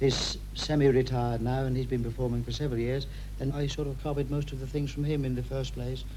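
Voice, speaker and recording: A man speaking at a fairly quick pace, with audible room echo. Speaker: ventriloquist and entertainer. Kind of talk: radio interview. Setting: his living room.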